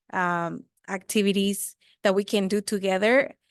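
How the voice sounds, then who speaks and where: A woman speaks at a medium pitch with a Spanish accent. The sound is dry and close, with no echo. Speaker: community volunteer, running group captain. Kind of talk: public comment. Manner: halting.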